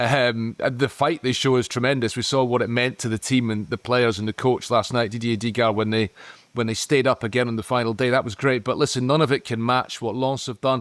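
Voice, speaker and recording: A man with a Scottish accent at a fairly quick pace, hardly any pauses, and a dry, close sound with no echo. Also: medium pitch for a man, fairly even intonation. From Scotland. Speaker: football podcast pundit. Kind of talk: casual chat. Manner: halting.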